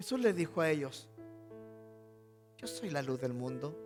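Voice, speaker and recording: A man talking at a fairly slow pace, with music in the background. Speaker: pastor. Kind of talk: sermon monologue.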